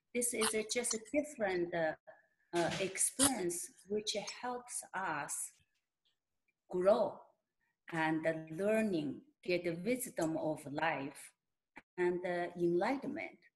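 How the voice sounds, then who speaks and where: A woman with a Mongolian accent speaks at a very slow pace, leaving long, frequent pauses. Her intonation is lively. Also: medium pitch for a woman. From Inner Mongolia, China. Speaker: shaman and healer. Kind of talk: interview answer.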